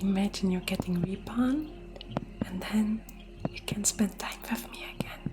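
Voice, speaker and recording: A woman at medium pitch and a fairly slow pace, with long, frequent pauses, ordinary pitch variation, big swings in loudness and noticeable background noise. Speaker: virtual streamer, ASMR creator. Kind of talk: live stream chat with viewers, ASMR personal attention.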